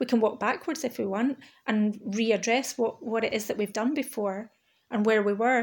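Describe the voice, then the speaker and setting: The recording is very clean, with a silent background. An ordinary speaking voice keeps a moderate pace and fairly even intonation. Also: woman, fairly high pitch for a woman. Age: 40s. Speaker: spiritual artist podcaster. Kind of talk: monologue.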